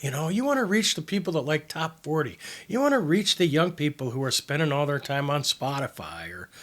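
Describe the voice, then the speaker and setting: On a very clean recording with a silent background, a man uses an ordinary speaking voice at a fairly high pitch with ordinary pitch variation and a fairly quick pace. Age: 60s. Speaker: advertising consultant. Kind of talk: casual chat.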